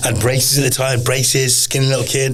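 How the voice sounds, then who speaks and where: A man with a West Midlands accent speaks at a medium pitch, with audible room echo and noticeable background noise. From English Midlands, Telford, Shropshire. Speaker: pro MMA fighter. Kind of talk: podcast interview, life story. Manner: casual, repetitive restarts.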